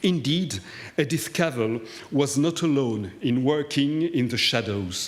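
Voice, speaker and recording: A man with a non-native accent, medium pitch, lively intonation and a fairly slow pace. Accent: foreign. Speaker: historian. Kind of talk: lecture. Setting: cathedral hall with audience. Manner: formal.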